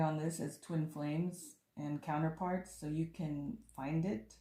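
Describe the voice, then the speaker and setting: Very slow and somewhat breathy, a woman speaks with a fairly low pitch and a dark, mellow tone. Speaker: tarot reader and author. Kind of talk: tarot reading monologue.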